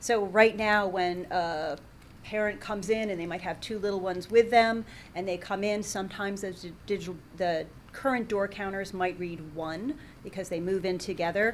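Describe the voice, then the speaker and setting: This is a woman with an unremarkable speaking voice at medium pitch. Her intonation stays fairly even at a moderate pace. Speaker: library director. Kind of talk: public meeting report.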